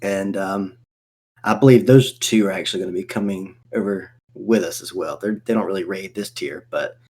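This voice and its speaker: A fairly low-pitched man with a Southern accent at a fairly quick pace. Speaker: gaming podcast co-host. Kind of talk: casual chat.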